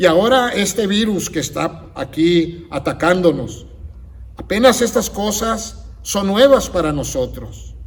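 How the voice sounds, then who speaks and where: A man speaks at a very slow pace with lively intonation. His pitch is high. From United States. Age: 60s. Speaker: pastor. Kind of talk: sermon.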